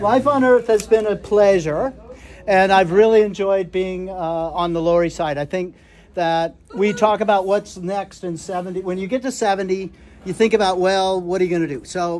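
Over light background noise, a man with a high pitch speaks at a moderate pace with ordinary pitch variation. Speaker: birthday host. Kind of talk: informal party speech. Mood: warm, reflective. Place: home room. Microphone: phone near.

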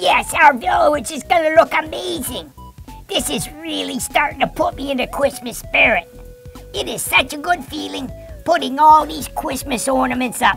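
A cartoonish character voice moves at a moderate pace with clear music in the background. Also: female-sounding voice, high pitch for a woman. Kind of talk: children's puppet show. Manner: upbeat, excited.

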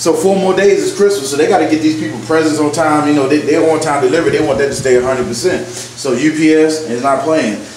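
Talking at a very fast pace with ordinary pitch variation, a man is heard with audible room echo and light background noise. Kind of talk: casual vlog chat. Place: bathroom.

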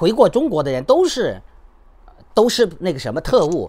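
A man is speaking. His pace is moderate and the background quiet. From China, Henan. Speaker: YouTuber and human rights activist; YouTuber. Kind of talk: commentary monologue. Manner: halting, many fillers. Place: home room. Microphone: phone near.

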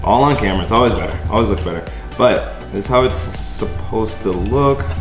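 A man talks at a fairly quick pace. Clear music plays behind him. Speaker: food vlogger. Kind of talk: casual vlog chat. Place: kitchen. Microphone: camera far.

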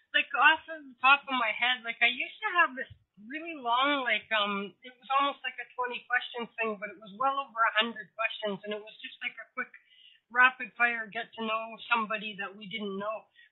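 A woman's high voice at a moderate pace, with ordinary pitch variation and big swings in loudness. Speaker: internet radio show host. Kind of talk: casual chat. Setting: video call from home. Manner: rambling, talkative.

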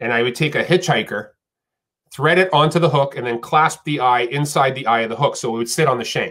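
Speaking fairly quickly in an American accent, a man has a fairly high pitch, ordinary pitch variation and a bright, sharp tone. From Texas. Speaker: professional angler; podcast guest. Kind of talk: interview. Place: home room.

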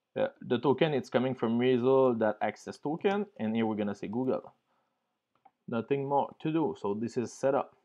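A man speaks at a moderate pace with a medium pitch, a dark, mellow tone and ordinary pitch variation.

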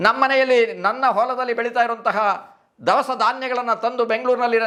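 A man speaks at an extremely high pitch in a raised, projected voice. His tone is bright and sharp, his intonation flat and monotone. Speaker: former RSS organiser. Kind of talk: interview testimony. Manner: halting, with many pauses.

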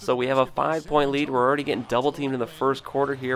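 Noticeable background noise sits behind a man speaking at a medium pitch with fairly even intonation. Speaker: gaming YouTuber. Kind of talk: gameplay commentary. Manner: casual play-by-play narration.

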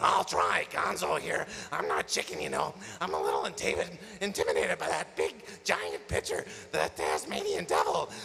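Over clear background noise, a man uses a put-on character voice at a fairly quick pace.

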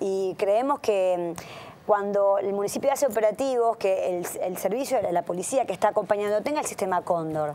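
This woman talks at a moderate pace with ordinary pitch variation. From Argentina, Santa Fe city; Argentina. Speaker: city councillor. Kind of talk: radio interview; interview answer. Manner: halting, many fillers. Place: studio. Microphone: lapel.

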